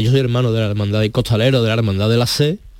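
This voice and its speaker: This man's voice rests at a medium pitch and shows ordinary pitch variation. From Seville. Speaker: firefighter awaiting kidney transplant. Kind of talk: testimony. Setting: studio.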